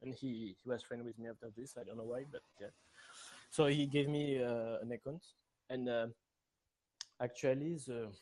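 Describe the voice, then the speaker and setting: In a French accent, a man speaks with a dark, mellow tone, fairly even intonation, long, frequent pauses and big swings in loudness. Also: medium pitch for a man, moderate pace. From France. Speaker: community member, gamer. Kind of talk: casual interview. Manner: halting.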